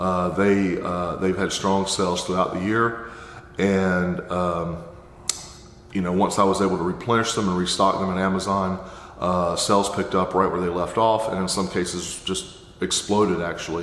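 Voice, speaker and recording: At a moderate pace, a man talks in a very deep, low pitch with monotone, flat intonation. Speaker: Amazon seller and course teacher. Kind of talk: casual talk to camera.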